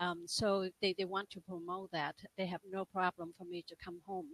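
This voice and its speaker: A woman with a Vietnamese accent speaks at a moderate pace in a medium pitch, the sound dry and close with no echo. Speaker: life and business coach. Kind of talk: interview testimony. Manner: halting.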